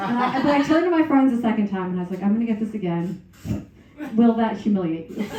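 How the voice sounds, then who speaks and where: A woman's very fast, lively speech at a fairly high pitch, with audible room echo and noticeable background noise. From Northern Ireland, then moved to the USA as a child. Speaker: comedian. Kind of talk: stand-up. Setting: stage with audience.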